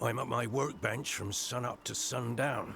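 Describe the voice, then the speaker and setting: A man puts on a raspy character voice at a medium pitch. He talks at a moderate pace over clear background noise. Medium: video game. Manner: honest, self-deprecating.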